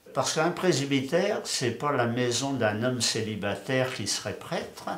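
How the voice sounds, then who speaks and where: A man speaks at a very slow pace with lively intonation. Noticeable background noise and audible room echo fill the recording. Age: 70s. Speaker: parish priest. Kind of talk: interview. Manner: hesitant, with fillers and repeated words.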